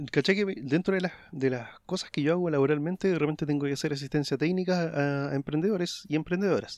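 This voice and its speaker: Over a quiet background, a man with a Chilean accent talks at a very fast pace and a fairly high pitch, with ordinary pitch variation and hardly any pauses. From Chile, Araucanía region. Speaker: podcast co-host. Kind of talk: casual chat.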